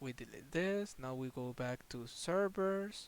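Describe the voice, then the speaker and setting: The man's intonation is lively. He talks very slowly. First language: not English. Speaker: gaming tutorial youtuber. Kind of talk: tutorial. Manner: halting, many fillers and repetitions.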